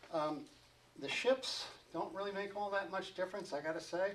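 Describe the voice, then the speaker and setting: Over noticeable background noise, a man mumbles at a moderate pace. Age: old. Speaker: glider racing pilot and seminar speaker. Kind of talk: seminar talk. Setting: seminar room with audience. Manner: mumbling; halting, many fillers.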